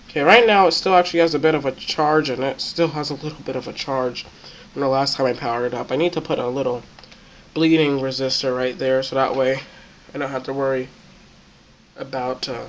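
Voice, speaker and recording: The speech moves at a very fast pace but is broken by long, frequent pauses. There is noticeable background noise. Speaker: electronics hobbyist. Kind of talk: tutorial.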